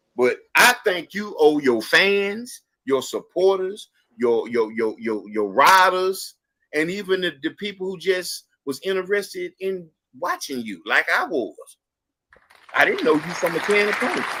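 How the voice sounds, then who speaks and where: The voice is raised and projected, bright and sharp in tone. It sounds animated, with very wide pitch swings. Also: man, high pitch for a man, fairly slow pace. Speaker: live stream show host. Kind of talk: casual live-stream chat.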